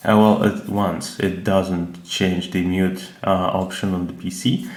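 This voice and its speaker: Through audible room echo and noticeable background noise, a man with a non-native accent speaks fairly slowly at a fairly low pitch. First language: not English. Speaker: tech reviewer. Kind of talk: product review. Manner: hesitant, many filler sounds.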